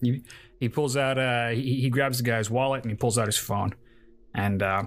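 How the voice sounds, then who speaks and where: Medium in pitch, a man talks in a plain, everyday voice. His pace is moderate and his intonation fairly even. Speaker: player and D&D influencer. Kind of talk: tabletop roleplaying game session.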